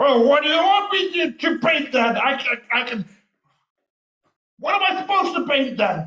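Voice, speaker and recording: A man's put-on character voice, extremely high-pitched, at a moderate pace with long, frequent pauses and a slight echo. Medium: stage play. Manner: pompous, dramatic.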